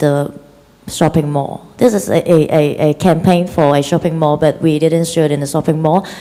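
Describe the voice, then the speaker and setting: A woman with a Chinese accent, fairly low in pitch with ordinary pitch variation, against noticeable background noise. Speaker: film director. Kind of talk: interview. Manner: halting.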